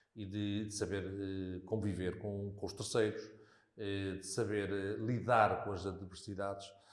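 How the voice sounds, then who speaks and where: A man talking at a fairly slow pace, with audible room echo. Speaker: local politician. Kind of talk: interview conversation. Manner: hesitant, many fillers.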